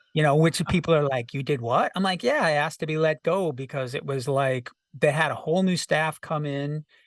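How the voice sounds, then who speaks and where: The background is quiet as a man speaks at a fairly quick pace, in a normal speaking voice. His pitch is fairly high, with ordinary pitch variation. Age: 60s. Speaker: rock singer-songwriter and producer. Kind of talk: casual interview.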